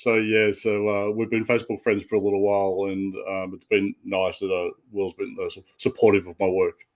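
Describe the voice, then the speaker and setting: In an Australian accent, a man with a fairly low pitch talks in a monotone, flat intonation with hardly any pauses and big swings in loudness. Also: moderate pace. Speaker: comic book artist. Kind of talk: casual interview chat.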